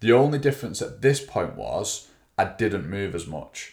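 With an English accent, a man talks with ordinary pitch variation. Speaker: fitness coach and podcast co-host. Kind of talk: casual chat.

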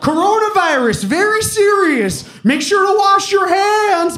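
A put-on character voice at an extremely high pitch moves at a fairly slow pace with audible echo. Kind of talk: formal, announcement. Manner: deadpan, cautionary.

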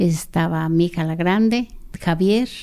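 Fairly low in pitch, a woman speaks at a fairly slow pace with a dark, mellow tone. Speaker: activist's sister. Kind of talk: interview testimony.

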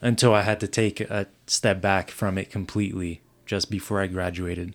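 The speech moves at a moderate pace with fairly even intonation, in a very clean recording against a silent background. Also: man. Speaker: campus ministry intern. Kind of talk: casual interview conversation.

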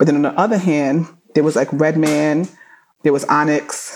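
In a New York accent, the speaker keeps a monotone, flat intonation at a moderate pace with a dark, mellow tone. The recording is very clean with a silent background. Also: woman. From New York, Flatbush, Brooklyn. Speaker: entertainment attorney. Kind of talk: interview.

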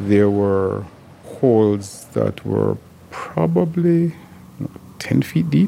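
Soft-spoken, a man talks at a very slow pace with long, frequent pauses. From Jamaica. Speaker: lawyer. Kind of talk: interview.

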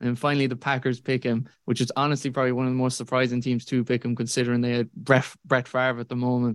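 A man with a Kerry accent speaks at a very fast pace with hardly any pauses, at a medium pitch in a monotone, flat intonation. The recording is very clean with a silent background. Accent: Kerry Irish. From Ireland, Tralee, County Kerry. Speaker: college football analyst. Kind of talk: casual chat.

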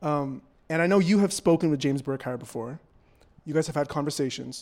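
Speaking at a fairly high pitch with ordinary pitch variation, a man with a Canadian accent has a normal speaking voice. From Toronto, Canada. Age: young. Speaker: journalist and podcast host. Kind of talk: live on-stage interview; scripted narration. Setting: festival main stage with audience.

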